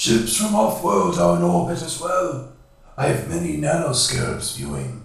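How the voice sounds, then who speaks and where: A man's put-on character voice, robotic and creaky, at medium pitch with very wide pitch swings, a moderate pace and a slight echo. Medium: read story. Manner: subservient.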